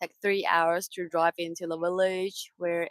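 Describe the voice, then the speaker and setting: Recorded dry and close with no echo, a woman speaks in a monotone, flat delivery at a fairly low pitch. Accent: Mandarin. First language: Mandarin. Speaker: sailing crew member. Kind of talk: casual chat. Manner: halting.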